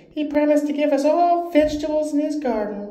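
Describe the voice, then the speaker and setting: In a put-on character voice with high pitch, the speaker talks at a fairly quick pace over a slight echo. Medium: read story.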